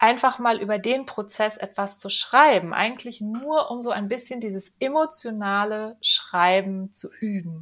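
A normal speaking voice with ordinary pitch variation, a fairly slow pace, and big swings in loudness. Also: woman. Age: 40s. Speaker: first-time author, property manager. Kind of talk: podcast interview. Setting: studio.

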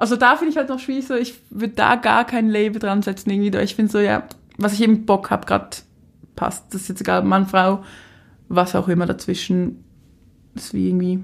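A woman talks at a fairly quick pace, leaving long, frequent pauses. Her pitch is medium, with ordinary variation. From Switzerland, Basel area. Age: 20s. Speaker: influencer and city magazine founder. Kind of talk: casual interview.

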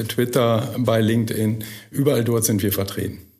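There is audible room echo around this man's medium-pitched voice. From Münsterland, Germany (Burlo near Borken, Dutch border). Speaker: managing director of a company. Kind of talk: podcast interview. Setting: studio.

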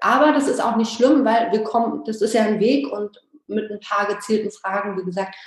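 Speaking at a moderate pace with fairly even intonation, a woman has a fairly high pitch and a plain, everyday voice. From Berlin, former East Germany. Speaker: business coach for photographers. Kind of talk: interview. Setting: video call.

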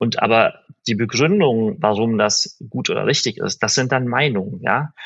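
An unremarkable speaking voice from a man, medium in pitch with ordinary pitch variation. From Berlin, Germany. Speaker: digital media executive. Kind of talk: interview conversation.

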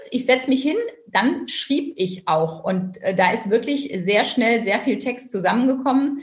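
A plain, everyday voice, fairly slow, with lively intonation. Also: woman. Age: 40s. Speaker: tax advisor and first-time author. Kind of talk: interview.

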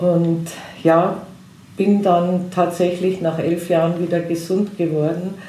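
A woman speaks very slowly in a fairly low, monotone voice with very even loudness, over noticeable background noise and audible room echo. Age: 60s. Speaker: hypnotherapist. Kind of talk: interview.

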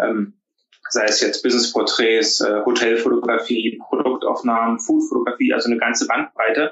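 A man at a moderate pace with very even loudness. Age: 30s. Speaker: business photographer. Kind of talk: casual interview.

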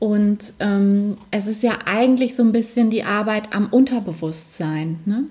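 A woman with a normal speaking voice, fairly high pitch, ordinary pitch variation, a fairly slow pace and hardly any pauses. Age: 40s. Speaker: alternative medicine practitioner. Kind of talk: interview.

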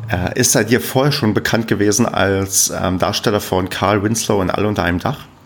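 Over noticeable background noise, a man with a fairly low pitch and ordinary pitch variation talks at a fairly quick pace with hardly any pauses. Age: 30s. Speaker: podcast host. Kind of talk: casual chat.

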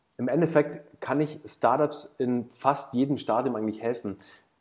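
A man speaks in a plain, everyday voice at a medium pitch and moderate pace, with fairly even intonation. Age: 30s. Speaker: startup founder and business consultant. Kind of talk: casual interview. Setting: video call.

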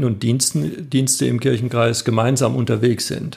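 This man has a medium pitch, vocal fry, and ordinary pitch variation. His pace is moderate. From northern Baden, southern Germany. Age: 50s. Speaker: pastor, candidate for church office. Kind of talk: interview. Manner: hesitant, many fillers.

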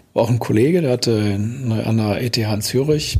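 This man has a medium pitch. His voice is somewhat breathy. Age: 60s. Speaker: building damage expert and lecturer. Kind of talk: interview conversation.

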